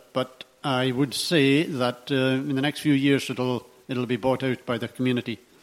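With a Hebridean accent, a man of medium pitch talks at a moderate pace in a monotone, flat intonation with hardly any pauses, over noticeable background noise. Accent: Hebridean Scottish. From Isle of Harris, Scotland. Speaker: audience member. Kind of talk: audience question. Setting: hall with audience, roving microphone.

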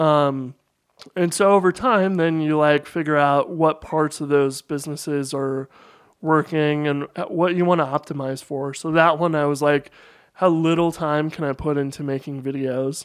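A man at a moderate pace in an ordinary speaking voice, fairly even intonation, quiet background. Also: fairly high pitch for a man. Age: 30s. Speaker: computer programmer and entrepreneur. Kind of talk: casual interview conversation.

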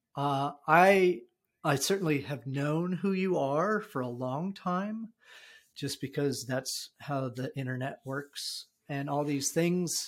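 A man with an American accent speaks with lively intonation. The recording is very clean with a silent background. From New Jersey. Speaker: podcast host and design leader. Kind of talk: casual chat. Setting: his house. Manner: halting, many fillers.

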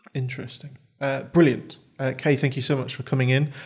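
Speaking at a fairly quick pace with a British accent, a man with a fairly high voice comes through on a very clean recording with a silent background. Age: 20s. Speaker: podcast host. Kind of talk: interview. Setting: studio.

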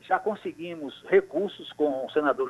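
Here a man talks in a high voice at a fairly slow pace. His intonation is lively. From Paraíba, Brazil (Guarabira). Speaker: politician, mayoral candidate. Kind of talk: radio interview. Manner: halting, with repetitions.

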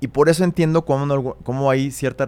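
A man in a Mexico City accent speaks at a very fast pace. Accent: Mexico City Spanish (chilango). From Mexico City (Coyoacán). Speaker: photographer. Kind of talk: interview. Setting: studio. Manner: casual, hesitant fillers.

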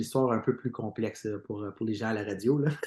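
A man with an Ontario French accent speaks at a medium pitch with ordinary pitch variation against a quiet background. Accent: Franco-Ontarian French. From Eastern Ontario (Franco-Ontarian). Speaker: singer in a band. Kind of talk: interview. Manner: repetitive stammering.

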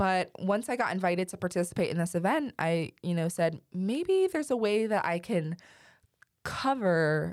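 On a very clean recording with a silent background, a woman with an American accent and an ordinary speaking voice speaks at a moderate pace and a fairly low pitch. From Ohio, east of Cleveland. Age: 20s. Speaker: student government leader. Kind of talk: interview.

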